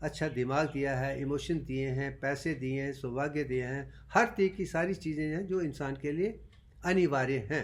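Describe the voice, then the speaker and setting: A man speaks with a fairly high pitch. There is audible echo from the room. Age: 70s. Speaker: doctor and self-styled teacher. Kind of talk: lecture.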